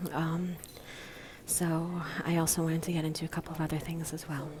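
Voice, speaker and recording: A quiet voice with an American accent moves at a moderate pace. Audible room echo and noticeable background noise fill the recording. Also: woman. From Baltimore, US. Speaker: vlogger. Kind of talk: live stream monologue. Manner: quiet, hushed.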